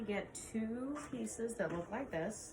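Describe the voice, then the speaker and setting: A woman speaks with a fairly high pitch and lively intonation. Noticeable background noise and audible room echo surround her. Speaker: quilt shop owner. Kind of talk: tutorial. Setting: alone in a quilt shop. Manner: loud; casual, with fillers. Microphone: no microphone, camera audio.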